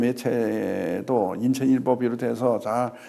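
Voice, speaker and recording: Here, a male voice is heard. The intonation remains fairly level. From China. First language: Chinese (speaking Korean). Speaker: ambassador. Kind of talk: formal interview. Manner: halting, many fillers.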